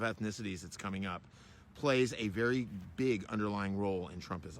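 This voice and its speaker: A man speaks at a fairly quick pace with an American accent. His pitch varies in an ordinary way. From Florida, US South. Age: 50s. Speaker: travel vlogger. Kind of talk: casual monologue to camera. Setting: outdoors at a battlefield park. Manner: halting, with many fillers.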